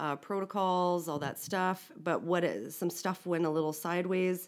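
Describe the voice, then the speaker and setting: A woman with a Canadian accent speaks fairly slowly in a plain, everyday voice with a fairly low pitch. The recording is very clean, with a silent background. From Saskatchewan, Canada. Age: 40s. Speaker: communications consultant in policing and corrections. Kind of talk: casual chat.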